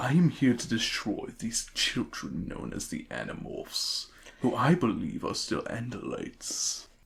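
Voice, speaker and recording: A man performs a put-on character voice. His pace is moderate. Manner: evil, menacing.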